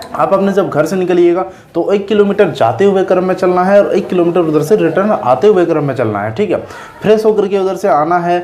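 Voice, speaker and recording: Against noticeable background noise, a high-pitched man speaks at a moderate pace with ordinary pitch variation. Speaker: motivational YouTuber. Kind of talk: casual vlog talk. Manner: halting, repetitive.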